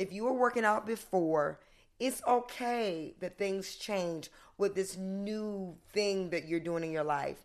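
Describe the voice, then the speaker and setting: With a Southern US accent, a woman speaks at a very slow pace and a medium pitch. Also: ordinary pitch variation. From US South. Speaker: fitness coach and author. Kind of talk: interview conversation.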